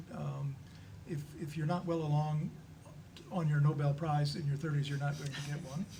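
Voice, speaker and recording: A man talks at a moderate pace with a fairly high pitch. Audible room echo and noticeable background noise fill the recording. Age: 70s. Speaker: panelist at church discussion on aging. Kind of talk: panel discussion. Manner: halting, many fillers and repetitions.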